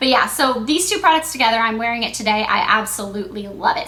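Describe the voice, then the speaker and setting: A woman talks at a fairly quick pace and a fairly high pitch. Noticeable background noise is present. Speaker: beauty vlogger. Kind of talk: casual product review vlog. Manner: stuttering at times.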